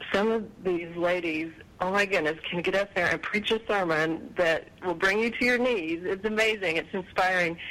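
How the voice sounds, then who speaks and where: A woman with a fairly low pitch and an ordinary speaking voice, fairly even intonation and a moderate pace. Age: 40s. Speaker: life coach. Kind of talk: casual chat.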